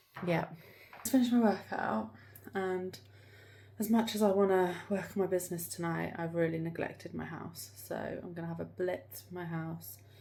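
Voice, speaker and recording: A woman with an English accent speaks at a moderate pace in a dark, mellow tone, with lively intonation. Her loudness swings widely, and room echo is audible. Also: fairly low pitch for a woman. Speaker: vlogger and salon owner. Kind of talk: casual vlog. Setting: in a car. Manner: whispering.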